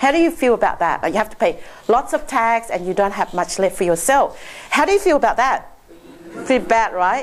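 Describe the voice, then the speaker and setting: A woman speaks in an animated tone at a fairly high pitch, with very wide pitch swings and a fairly quick pace. Noticeable background noise is audible. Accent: non-native. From Laos, Chinese family. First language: not English (English is her sixth language). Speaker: accountant, seminar speaker. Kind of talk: seminar presentation. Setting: stage with audience.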